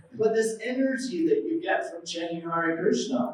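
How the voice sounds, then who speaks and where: A man with an American accent talks fairly slowly in a high pitch, his tone animated and his intonation lively. There is audible room echo. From USA. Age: 70s. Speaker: religious speaker. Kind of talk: lecture.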